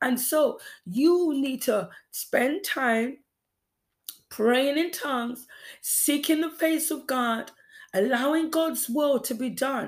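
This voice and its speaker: A woman talks very slowly, with long, frequent pauses, at a high pitch. The recording is very clean, with a silent background. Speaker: preacher. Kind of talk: sermon; fervent prayer with repeated phrases, urgent exhortation. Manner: earnest, repetitive, exhortative.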